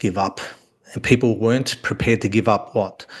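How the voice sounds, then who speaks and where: Someone male with an Australian accent talks at a moderate pace. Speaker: author. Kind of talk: casual chat.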